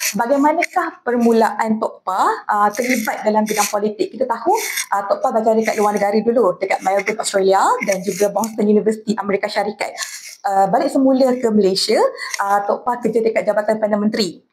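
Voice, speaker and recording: Fairly quick, fairly high-pitched female speech amid noticeable background noise. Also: ordinary pitch variation, very even loudness. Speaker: podcast host. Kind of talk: casual interview. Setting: live podcast at a festival. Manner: fast.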